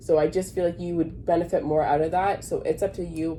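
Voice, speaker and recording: A woman talks at a fairly quick pace with a dark, mellow tone. Her intonation stays fairly even. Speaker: tarot reader. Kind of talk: tarot reading monologue. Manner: casual, self-correcting.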